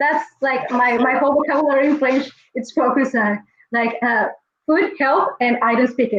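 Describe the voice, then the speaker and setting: A woman with a Spanish accent speaks at a high pitch and moderate pace, with ordinary pitch variation and very even loudness. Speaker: chatbot business guest. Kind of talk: podcast interview. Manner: halting.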